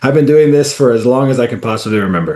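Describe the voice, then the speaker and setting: Speaking at a fairly quick pace, a man with an American accent uses ordinary pitch variation. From Indianapolis, US Midwest. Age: 30s. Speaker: professional soccer player. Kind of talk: interview.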